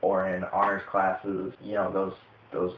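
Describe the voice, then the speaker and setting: Noticeable background noise sits behind a man's voice. He speaks at a fairly low pitch and a moderate pace. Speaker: vlogger. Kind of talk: casual Q&A vlog. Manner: animated, talks with hands.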